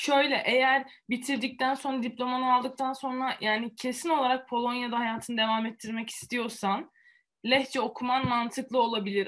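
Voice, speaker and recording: A woman with a high pitch talks at a moderate pace with fairly even intonation in a very clean recording with a silent background. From Antalya, Turkey. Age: 20s. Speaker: student and youtuber. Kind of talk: interview.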